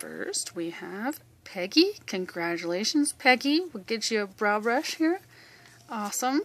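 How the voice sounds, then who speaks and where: Fairly slow female speech with very wide pitch swings, big swings in loudness and a dry sound with no echo. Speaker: host of a sales group announcing winners. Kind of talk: casual announcement to group members. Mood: cheerful, congratulating. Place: home room.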